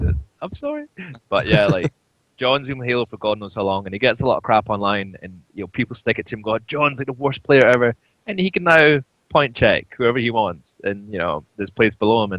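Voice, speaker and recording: Speaking in a Scottish accent at a medium pitch, this man keeps a fairly quick pace. His intonation is lively and his loudness swings widely. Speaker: esports coach and pundit. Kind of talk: casual chat.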